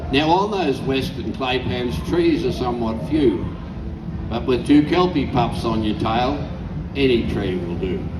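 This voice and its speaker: This man talks at a fairly slow pace, his medium pitch swinging very widely. Noticeable background noise runs underneath. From Australia. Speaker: bush poet. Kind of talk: poetry reading.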